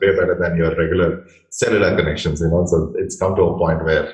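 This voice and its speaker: A man with an Indian accent over noticeable background noise. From India, Bangalore. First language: Indian language (not English). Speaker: interviewer, marketing channel host. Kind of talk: interview. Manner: uses fillers like uh.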